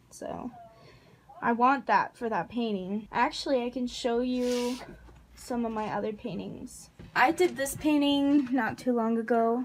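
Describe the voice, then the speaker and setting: A woman speaks fairly slowly in a high voice, with ordinary pitch variation. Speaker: YouTuber. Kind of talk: casual vlog talk. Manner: hesitant, many ums.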